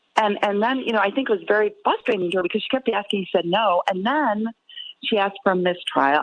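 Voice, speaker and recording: A woman with an American accent talks at a fairly quick pace, her pitch medium, in an unremarkable speaking voice. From Chicago, north side. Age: 60s. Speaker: spokesperson. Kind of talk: interview.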